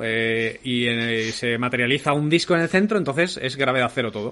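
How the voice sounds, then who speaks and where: Medium pitch and ordinary pitch variation in a male voice. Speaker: podcast host. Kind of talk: casual chat. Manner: fast.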